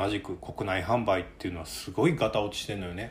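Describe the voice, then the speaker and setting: A man speaks with a Kansai accent at a fairly low pitch. His voice is somewhat breathy. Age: 30s. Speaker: coffee company podcast host. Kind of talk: casual chat.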